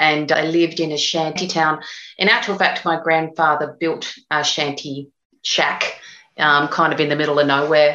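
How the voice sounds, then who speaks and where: An Australian-accented woman speaks with very deep, low pitch. She keeps a moderate pace and a flat, monotone intonation. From Australia, northern Sydney. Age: 50s. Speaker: novelist. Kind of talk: interview.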